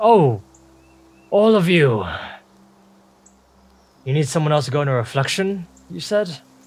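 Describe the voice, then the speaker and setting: Doing a gruff, put-on character voice at a fairly high pitch, a man talks at a moderate pace with long, frequent pauses. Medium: actual play. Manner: gruff, blunt.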